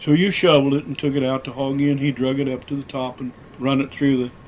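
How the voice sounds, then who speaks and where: A man with an American accent speaks at a medium pitch and a fairly quick pace, his intonation monotone and flat. Noticeable background noise runs behind him. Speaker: former miner. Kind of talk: oral history interview answer.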